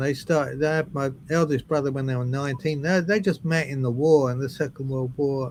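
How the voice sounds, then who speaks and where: Over noticeable background noise, a man with a southern English accent speaks with ordinary pitch variation. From southern England, Brighton. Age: 70s. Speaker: drummer. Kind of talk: interview.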